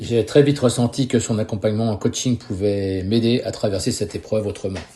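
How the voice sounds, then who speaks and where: A man's somewhat breathy voice with a dark, mellow tone and fairly even intonation, over a quiet background. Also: medium pitch for a man, fairly quick pace. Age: 60s. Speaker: retired business owner and karate teacher. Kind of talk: testimony. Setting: podcast interview.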